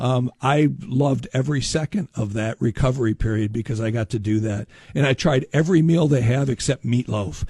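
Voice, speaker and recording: A man with an American accent speaks with hardly any pauses in a somewhat breathy voice of dark, mellow tone, the sound dry and close with no echo. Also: medium pitch for a man, ordinary pitch variation, fairly quick pace. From Upper Peninsula of Michigan (Marquette). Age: 60s. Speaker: shipwreck historian and lecturer. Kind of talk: radio interview. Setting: radio studio.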